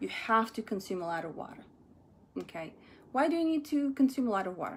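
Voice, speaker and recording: This speaker is a woman with a fairly high pitch. She talks with a non-native accent. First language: not English. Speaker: energy psychotherapist vlogger. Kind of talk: casual vlog. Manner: halting with fillers.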